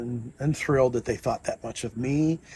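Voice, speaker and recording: A somewhat breathy voice with a dark, mellow tone speaks at a moderate pace. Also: man. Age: 60s. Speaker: political candidate. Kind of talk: interview storytelling.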